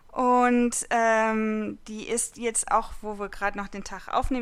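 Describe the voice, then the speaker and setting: On a very clean recording with a silent background, a woman speaks at a fairly high pitch in a monotone, flat intonation. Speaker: podcast host. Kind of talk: casual chat.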